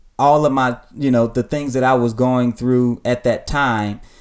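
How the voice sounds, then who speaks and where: The recording is very clean, its background silent. A man speaks at a medium pitch. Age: 30s. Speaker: pastor and podcast host. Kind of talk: casual chat; sermon.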